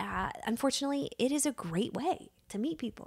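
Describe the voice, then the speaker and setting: In a very clean recording with a silent background, a woman with an unremarkable speaking voice talks at a moderate pace with lively intonation. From Virginia, US. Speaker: casting director. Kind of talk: casual interview chat.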